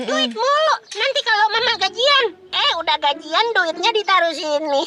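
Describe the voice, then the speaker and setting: An extremely high-pitched cartoonish character voice speaks at a moderate pace. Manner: casual slangy chatter.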